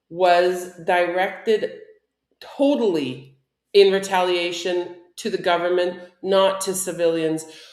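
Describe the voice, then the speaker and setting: At a very slow pace, a woman with a medium pitch speaks amid audible room echo. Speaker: online show co-host. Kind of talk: casual chat.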